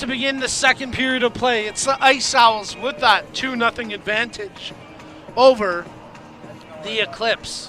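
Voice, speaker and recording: Noticeable background noise sits behind a man's raised, projected voice. His pitch is extremely high, his intonation fairly even, and his pace fairly slow. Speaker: play-by-play commentator. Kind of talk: live commentary. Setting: broadcast stand at arena.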